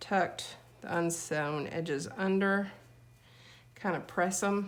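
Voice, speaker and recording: Speaking at a fairly slow pace, a woman leaves long, frequent pauses. Her intonation is fairly even, and audible room echo surrounds her voice. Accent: American. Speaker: DIY video maker. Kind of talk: tutorial. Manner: casual, chatty.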